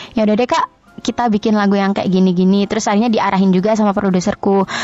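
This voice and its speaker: The speech moves at a very fast pace with fairly even intonation. The sound is dry and close, with no echo. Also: woman. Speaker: singer. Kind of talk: interview.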